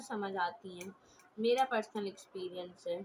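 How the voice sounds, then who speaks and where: A woman shouting loudly, with ordinary pitch variation. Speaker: craft youtuber. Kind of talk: tutorial. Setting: home, siblings in room. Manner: loud, shouting to be heard. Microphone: mic held far away, voice not reaching.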